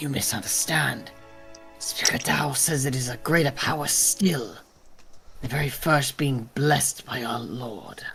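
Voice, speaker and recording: In a put-on character voice at a low-to-middle pitch, the speaker goes at a moderate pace while clear music plays in the background. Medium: game stream. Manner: proud, zealous.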